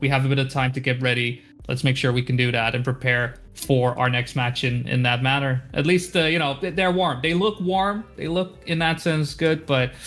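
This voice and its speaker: A medium-pitched man with a Dutch accent, ordinary pitch variation, very even loudness and hardly any pauses, music playing behind him. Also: moderate pace. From Netherlands. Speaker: esports caster. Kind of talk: live commentary. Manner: hesitant, many fillers and repeats.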